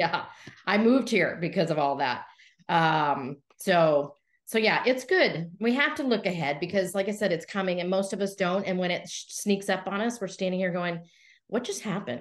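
Using a normal speaking voice, a woman talks at a moderate pace with a medium pitch and lively intonation. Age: 60s. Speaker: entrepreneur coach. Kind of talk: interview.

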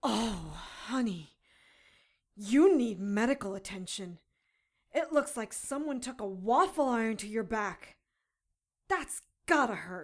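This female-sounding put-on character voice sits fairly high in pitch, moving at a fairly slow pace with long, frequent pauses over a very clean recording and a silent background. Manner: defiant, fiery.

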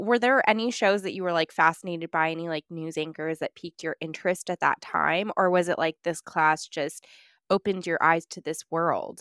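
In an American accent, a woman with a plain, everyday voice speaks at a moderate pace, fairly low in pitch with ordinary pitch variation. The recording is very clean with a silent background. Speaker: podcast co-host. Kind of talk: interview, casual conversation.

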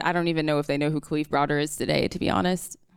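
In a very clean recording with a silent background, a woman talks at a very fast pace with an American accent. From rural North Carolina. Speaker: psychology PhD student. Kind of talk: live storytelling. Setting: stage with audience.

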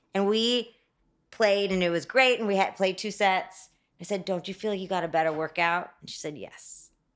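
A woman speaks in an ordinary speaking voice at medium pitch and a moderate pace, with ordinary pitch variation. Her loudness swings widely in a very clean recording with a silent background. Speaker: interior designer. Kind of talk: casual interview. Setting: studio.

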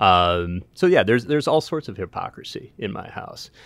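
In a very clean recording with a silent background, a man with an American accent uses an ordinary speaking voice, lively intonation and a moderate pace. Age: 50s. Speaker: baseball team general manager. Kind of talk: casual chat.

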